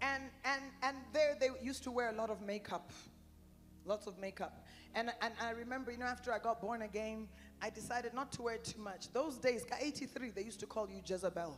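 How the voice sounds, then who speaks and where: Music plays in the background as a woman with an American accent speaks at a fairly quick pace. Her pitch is fairly high, with ordinary variation. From Canada and the United States. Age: 60s. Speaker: preacher. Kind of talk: sermon. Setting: conference tent with audience.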